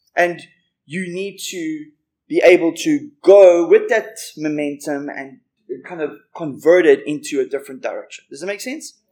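Using a high pitch with a dark, mellow tone, a man speaks at a moderate pace with lively intonation and big swings in loudness. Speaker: preacher. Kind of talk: sermon. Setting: church. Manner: animated.

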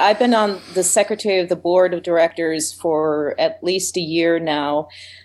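A woman speaks at a medium pitch with hardly any pauses. She has an unremarkable speaking voice with ordinary pitch variation. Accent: American. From US Midwest, Indiana. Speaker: theater director. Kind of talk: radio interview.

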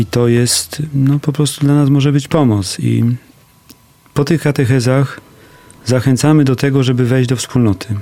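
Speaking at a medium pitch and a moderate tempo, a man uses an ordinary speaking voice, his intonation fairly even. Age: 40s. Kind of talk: radio interview. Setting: studio.

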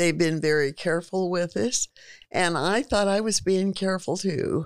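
Fairly even intonation from a woman with an American accent. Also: very clean recording, silent background. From California, US. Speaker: business owner. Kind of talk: interview.

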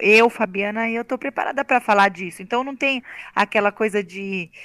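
Pitch varies in an ordinary way as the speech moves at a fairly quick pace. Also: woman. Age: 40s. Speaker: amateur runner, breast cancer survivor. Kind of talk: testimony.

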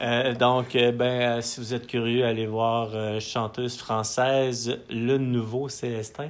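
Over noticeable background noise and audible room echo, a man speaks very slowly in a monotone, flat intonation. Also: medium pitch for a man. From Quebec, Matane. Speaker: musician. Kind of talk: casual chat. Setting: his home studio. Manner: halting, many repetitions.

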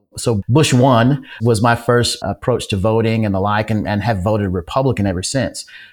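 With an American accent and a plain, everyday voice, a man speaks at a moderate pace and medium pitch, using ordinary pitch variation and hardly any pauses. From upstate New York and Tulsa, Oklahoma. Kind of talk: interview.

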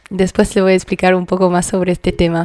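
Woman with a French accent at a medium pitch, dry and close with no echo, on a very clean recording with a silent background. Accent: French accent, sounds exotic. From France, Paris. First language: French (speaking Spanish). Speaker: community radio host. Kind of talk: radio music show chat.

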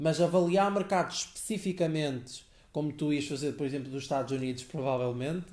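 This voice moves at a fairly quick pace with a European Portuguese accent. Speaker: podcast co-host. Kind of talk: casual chat.

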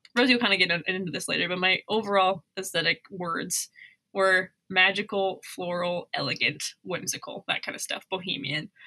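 A woman with an American accent, bright and sharp in tone, in a dry, close sound with no echo. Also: medium pitch for a woman, ordinary pitch variation, moderate pace. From Missoula, Montana. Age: 20s. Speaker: wedding videographer and podcast co-host. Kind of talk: casual chat. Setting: remote recording, separate locations.

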